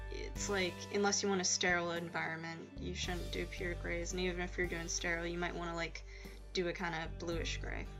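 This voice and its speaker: Fairly quick speech with music in the background. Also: woman. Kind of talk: casual drawing tutorial voice-over. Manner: casual, hesitant, many fillers.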